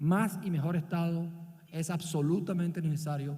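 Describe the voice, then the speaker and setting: A man's fairly high, dark and mellow voice in a Barranquilla accent, with ordinary pitch variation and audible room echo. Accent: Barranquilla coastal Colombian. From Colombia, Barranquilla (Caribbean coast). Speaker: business leader and visiting professor. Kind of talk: conference talk.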